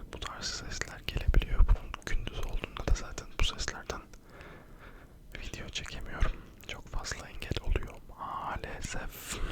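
Through noticeable background noise comes whispering at a fairly slow pace. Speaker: ASMR content creator. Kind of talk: casual talk to camera, chatty ASMR video. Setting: home at night, quiet recording. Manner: whispered, soft-spoken.

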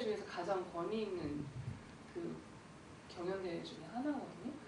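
A woman's voice swings very widely in pitch, with audible room echo and light background noise. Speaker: film director. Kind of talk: post-screening Q&A. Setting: cinema with audience. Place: hall.

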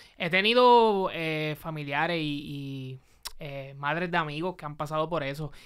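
A man speaks at a fairly slow pace with a fairly high pitch and ordinary pitch variation. The background is quiet. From Puerto Rico. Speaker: podcast host. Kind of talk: casual interview. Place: studio. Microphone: studio mic.

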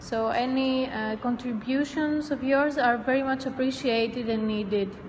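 Over light background noise, a woman talks in a high voice with fairly even intonation. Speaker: event host. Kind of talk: welcome announcement to an audience. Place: hall.

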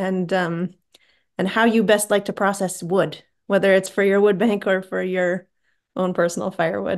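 A woman speaks at a moderate pace. The background is quiet. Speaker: meeting host. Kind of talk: meeting moderation. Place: home room. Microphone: video call.

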